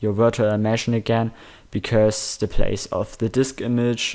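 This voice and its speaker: Recorded very cleanly with a silent background, a man in a German accent speaks at a medium pitch with monotone, flat intonation. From Germany. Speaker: gaming tutorial youtuber. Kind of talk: screen-recorded tutorial. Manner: halting, many fillers.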